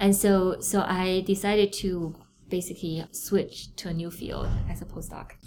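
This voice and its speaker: In a Chinese accent, a woman speaks at a moderate pace with a dark, mellow tone and flat, monotone intonation while her loudness swings widely. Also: medium pitch for a woman. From China (Beijing). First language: Mandarin Chinese. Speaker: neuroscientist, professor. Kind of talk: interview.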